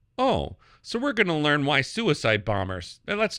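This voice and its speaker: In a very clean recording with a silent background, a man with an American accent speaks at a moderate pace in a fairly high, bright and sharp voice with vocal fry and very wide pitch swings. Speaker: podcast host and media critic.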